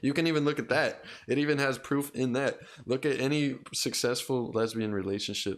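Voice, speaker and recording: A man speaks at a medium pitch with ordinary pitch variation and a plain, everyday voice. His loudness stays very even and his pace is fairly quick. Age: 20s. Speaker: podcast host. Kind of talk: casual chat.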